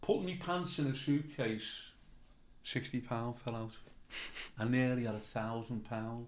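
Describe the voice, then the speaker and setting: With a Liverpool accent, the speaker moves at a fairly slow pace with long, frequent pauses. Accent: Scouse (Liverpool). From Liverpool, England. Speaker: comedian. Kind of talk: casual interview storytelling. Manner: animated.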